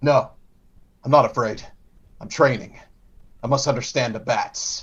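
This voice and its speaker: A man at medium pitch performs a put-on character voice. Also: moderate pace. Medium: actual play. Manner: brooding, self-serious.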